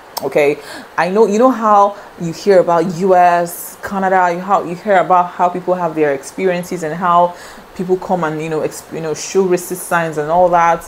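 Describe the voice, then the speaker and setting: Through noticeable background noise, a woman talks at a moderate pace with a fairly low pitch and fairly even intonation. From Nigeria. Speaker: vlogger. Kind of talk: casual talk to camera.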